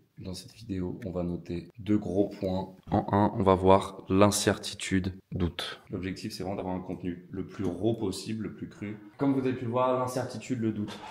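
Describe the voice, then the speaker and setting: Using an unremarkable speaking voice, a man talks at a moderate pace with fairly low pitch and fairly even intonation. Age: 20s. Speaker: trading educator. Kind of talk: casual talk to camera.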